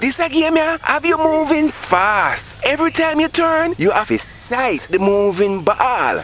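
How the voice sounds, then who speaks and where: The speaker has a Jamaican accent and talks at a fairly slow pace. Noticeable background noise is present. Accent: Jamaican Patois. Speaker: storyteller. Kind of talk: dramatized storytelling.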